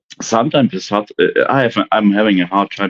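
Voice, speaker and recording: Speaking at a very fast pace, a man with a slight German accent has a fairly low pitch. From Germany. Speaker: livestream panel guest. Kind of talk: casual chat. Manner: halting, many restarts and fillers.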